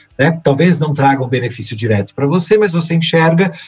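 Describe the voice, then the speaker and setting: With lively intonation and a somewhat breathy voice, a man moves along at a fairly quick pace. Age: 40s. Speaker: work researcher and speaker. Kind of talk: interview conversation.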